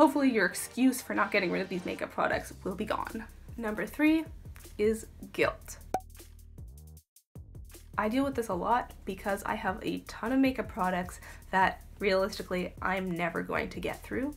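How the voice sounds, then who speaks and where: Lively intonation from a woman with a fairly high pitch, at a moderate pace with long, frequent pauses and music in the background. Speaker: beauty YouTuber. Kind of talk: casual talk to camera.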